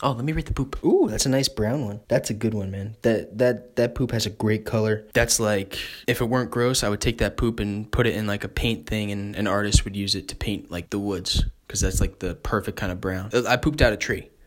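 Fairly quick speech in an American accent with hardly any pauses. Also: man, fairly low pitch for a man. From New Jersey. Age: 20s. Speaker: comedy podcast host. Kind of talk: comedic monologue. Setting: parents' home. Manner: animated.

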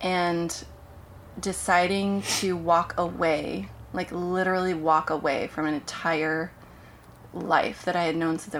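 A woman with an American accent speaks at a fairly low pitch. Her pace is very slow and her intonation fairly even. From US Pacific Northwest (Portland, Oregon). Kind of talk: casual chat.

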